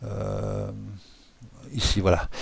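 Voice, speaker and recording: With a slight Swiss French accent, a man speaks at a very slow pace. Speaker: software tutorial creator. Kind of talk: tutorial. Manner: casual, hesitant with many fillers.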